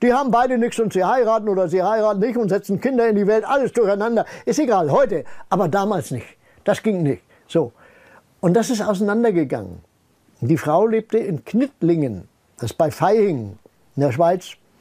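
Against a quiet background, a man with a high, dark, mellow voice speaks at a moderate pace with lively intonation and long, frequent pauses. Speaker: retired scientist speaking on paranormal research; interviewee. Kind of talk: interview, personal storytelling. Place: home room.

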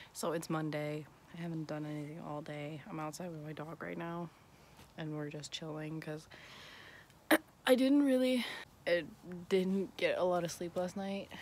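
A woman speaks at a very deep, low pitch and a moderate pace, with long, frequent pauses, ordinary pitch variation and big swings in loudness. The sound is dry with no echo, with light background noise. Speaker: vlogger. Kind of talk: casual vlog chat. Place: street. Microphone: phone near.

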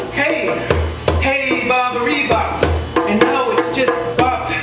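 Loud music plays in the background as a man talks, and the room echo is audible. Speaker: poet. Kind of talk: beat poetry reading with jazz accompaniment. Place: cafe. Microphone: camera far.

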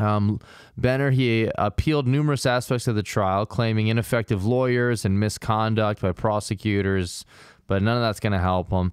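Against a quiet background, a man with a fairly low pitch speaks at a moderate pace, his loudness very even and the sound dry with no echo. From US Midwest. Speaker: comedy true-crime podcast host. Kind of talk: casual comedic chat with true-crime storytelling. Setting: recording session with co-hosts. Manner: animated, laughs often. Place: studio. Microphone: studio mic.

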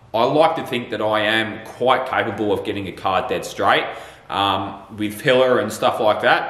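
The man talks at a fairly slow pace with fairly even intonation. Audible room echo surrounds his voice. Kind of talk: Q&A answer to viewers. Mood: relaxed, laughing a little. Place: workshop.

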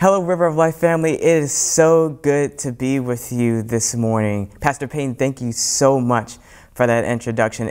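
Behind the speaker, the background is quiet. He is a man whose pitch varies in an ordinary way. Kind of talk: sermon. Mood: warm, earnest. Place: church. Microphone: lapel.

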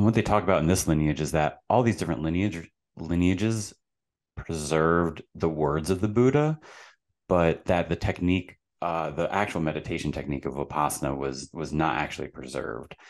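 At a fairly quick pace, a man talks with a very deep, low pitch and ordinary pitch variation. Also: quiet background. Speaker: podcast guest. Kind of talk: interview answer. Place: home room. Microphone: studio mic.

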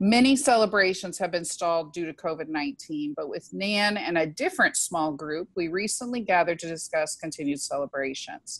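In a normal speaking voice, a woman talks at a moderate pace in a fairly low pitch with hardly any pauses, the sound dry with no echo and the background quiet. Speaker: event host introducing speaker. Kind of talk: introduction speech. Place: home room. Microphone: earbuds.

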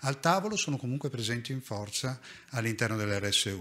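A man's bright, sharp voice at medium pitch, with lively intonation and a fairly quick pace. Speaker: hospital nursing director; conference speaker. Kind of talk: conference talk. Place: hall. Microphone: podium.

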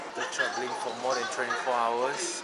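A man is speaking. Loud background noise fills the recording. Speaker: travel vlogger. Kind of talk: casual vlog chat. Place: station. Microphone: phone near.

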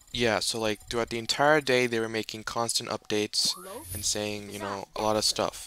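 Over noticeable background noise, a man with a medium pitch speaks at a fairly quick pace. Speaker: gaming YouTuber. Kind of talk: gameplay commentary. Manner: halting.

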